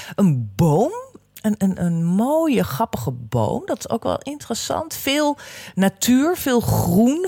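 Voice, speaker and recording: A woman speaks very slowly, her pitch swinging very widely. The sound is dry and close with no echo, though background noise is noticeable. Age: 50s. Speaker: career coach. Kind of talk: solo podcast talk. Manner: hesitant, many fillers.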